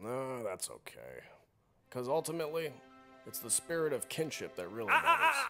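Using a put-on character voice with a fairly high pitch, a man talks at a moderate pace with long, frequent pauses while faint music plays in the background. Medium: comedy sketch. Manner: mild, whiny.

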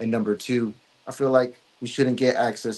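With an American accent, a man speaks at a fairly quick pace in a dark, mellow tone and a monotone, flat intonation. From California. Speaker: music producer and former cult member; interview guest. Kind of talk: interview. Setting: live stream. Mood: earnest, sometimes somber. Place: home room. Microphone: video call.

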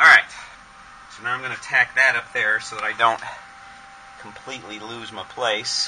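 Noticeable background noise surrounds a man speaking at a moderate pace. His loudness swings widely, and he pauses long and often. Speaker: hobby metal fabricator. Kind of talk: casual workshop narration.

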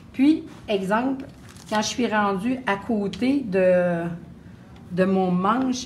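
Somewhat breathy and very slow, a woman with a Quebec accent talks with ordinary pitch variation over light background noise. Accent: Québécois French. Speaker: painting instructor; painting teacher. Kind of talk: live painting demonstration; tutorial. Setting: live stream at open house. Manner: hesitant, many fillers. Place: classroom.

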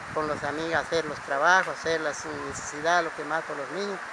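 A man's high-pitched voice with fairly even intonation, dry and echo-free, over loud background noise. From Guatemala. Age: 60s. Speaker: Mayan spiritual guide; spiritual guide. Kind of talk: testimony; interview answer. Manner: halting. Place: open country.

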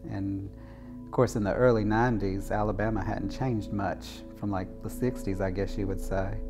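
Clear music plays in the background. A man speaks over it at a moderate pace in a fairly low pitch. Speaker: interviewee. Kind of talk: interview answer. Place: home room. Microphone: lapel.

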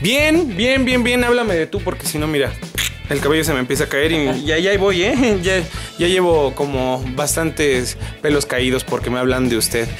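Set against clear background music, the speech moves at a moderate pace with very wide swings in pitch. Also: man. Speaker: voice actor and voice impressionist, YouTuber. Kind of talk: interview answer. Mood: relaxed, joking. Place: home room.

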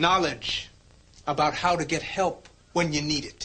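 At a very slow pace, a man talks in a raised, projected voice. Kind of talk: scripted educational monologue. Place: classroom.

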